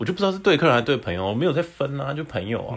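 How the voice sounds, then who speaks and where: The speech races at a very fast pace with very wide pitch swings. Music plays in the background. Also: man. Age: 20s. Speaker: podcast co-host. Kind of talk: casual chat.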